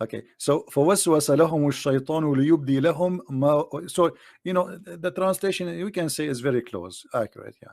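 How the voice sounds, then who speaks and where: With an Arabic accent, a man speaks at a fairly high pitch with ordinary pitch variation, big swings in loudness and hardly any pauses. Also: moderate pace. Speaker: debater on Islam. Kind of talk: live online debate. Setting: voice chat room streamed live. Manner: animated, joking.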